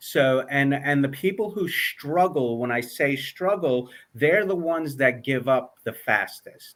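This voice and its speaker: A man with a New York accent, fairly high-pitched and fairly slow, with ordinary pitch variation. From New York, Long Island. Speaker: author and mindset coach. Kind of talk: interview.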